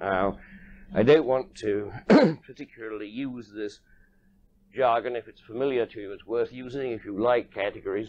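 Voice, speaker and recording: A man speaks at a fairly quick pace, his pitch varying in an ordinary way. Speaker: lecturer. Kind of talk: lecture. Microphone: old recording.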